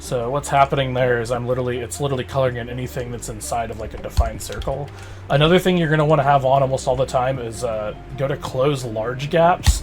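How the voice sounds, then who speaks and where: With music in the background, a man talks at a very fast pace with ordinary pitch variation. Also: medium pitch for a man. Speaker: animation tutorial youtuber. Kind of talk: tutorial. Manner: casual, many fillers.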